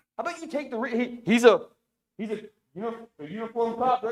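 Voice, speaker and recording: Shouting at a very fast pace, a man hits extremely high pitches, with ordinary pitch variation and big swings in loudness. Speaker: resident giving public comment. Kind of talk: public comment. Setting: city council meeting. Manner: loud, yelling.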